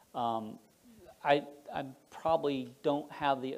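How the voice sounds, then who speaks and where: A man with an American accent uses an ordinary speaking voice, fairly high in pitch with fairly even intonation. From Florida. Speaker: defense innovation director. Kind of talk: talk with slides. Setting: club meeting with audience.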